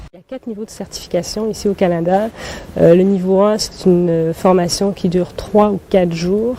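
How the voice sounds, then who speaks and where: Through noticeable background noise, a woman's intonation stays fairly even. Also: medium pitch for a woman, moderate pace. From Burkina Faso. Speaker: ski instructor and guide for blind skiers. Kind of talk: TV interview answer.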